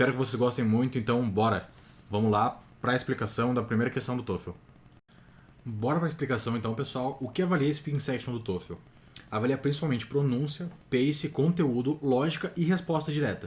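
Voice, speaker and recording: The voice is somewhat breathy, with ordinary pitch variation. The pace is fairly quick. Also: man, medium pitch for a man. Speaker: TOEFL prep youtuber. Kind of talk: tutorial. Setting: home recording at night.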